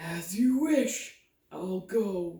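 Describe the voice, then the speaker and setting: A put-on character voice at a middle pitch comes through with a slight echo. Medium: read story. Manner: polite, formal.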